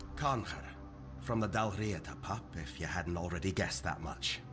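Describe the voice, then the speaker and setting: A gruff, put-on character voice moves at a moderate pace over loud background music. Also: man, very deep, low pitch for a man. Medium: video game. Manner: gruff, blunt, profane.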